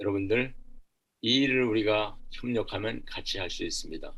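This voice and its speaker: A man talks at a moderate pace, and audible room echo hangs around his voice. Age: 70s. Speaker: church social welfare volunteer, army veteran. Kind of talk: seminar lecture.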